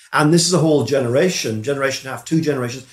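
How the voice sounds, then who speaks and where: Here a man speaks with ordinary pitch variation. His voice is somewhat breathy. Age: 60s. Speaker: politics professor. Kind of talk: interview. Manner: halting.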